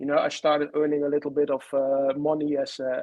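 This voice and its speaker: A man speaks at a very fast pace with a Dutch accent. His pitch is fairly high. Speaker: author and fan historian. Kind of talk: interview. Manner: halting, many fillers.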